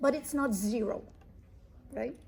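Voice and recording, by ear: A woman with a fairly high pitch and vocal fry talks slowly, using ordinary pitch variation. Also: slightly mellow tone.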